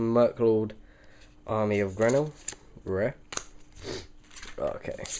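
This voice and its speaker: A man speaks at a medium pitch with fairly even intonation, his pace very slow with long, frequent pauses. Noticeable background noise can be heard. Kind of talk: casual talk to camera, card unboxing. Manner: hesitant, casual.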